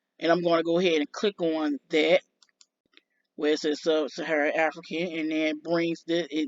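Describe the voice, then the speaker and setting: Here a woman talks. Her voice is very deep and low in pitch. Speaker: vlogger. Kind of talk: casual commentary on screen results. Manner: halting, fumbling.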